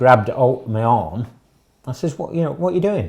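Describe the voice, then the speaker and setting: A man with a northern English accent speaks at a medium pitch, his tone dark and mellow, his intonation lively. The recording is very clean, with a silent background. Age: 60s. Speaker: arrested member of the public. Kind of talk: interview testimony.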